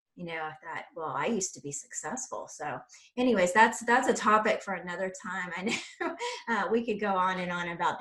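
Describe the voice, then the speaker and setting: With an American accent, a woman speaks at a moderate pace and medium pitch, with ordinary pitch variation, big swings in loudness and noticeable background noise. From South Carolina. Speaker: podcast host. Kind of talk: interview.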